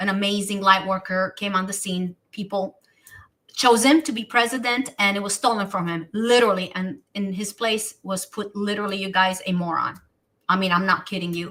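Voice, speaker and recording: Animated in tone, a woman with a Romanian accent and a medium pitch talks at a moderate pace. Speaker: talk show host. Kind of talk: casual chat. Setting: live stream.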